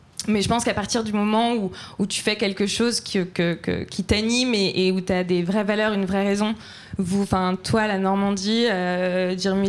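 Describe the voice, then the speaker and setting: A woman speaks at a moderate pace and a medium pitch, her intonation flat and monotone, on a very clean recording with a silent background. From France. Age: 20s. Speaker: entrepreneur, fashion brand founder. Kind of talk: live panel discussion. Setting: live event with audience.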